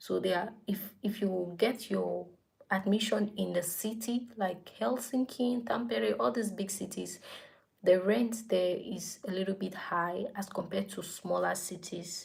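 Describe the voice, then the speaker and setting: At a fairly slow pace, a woman speaks in a medium pitch with vocal fry and ordinary pitch variation. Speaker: YouTuber giving study-abroad advice. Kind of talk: casual vlog talk.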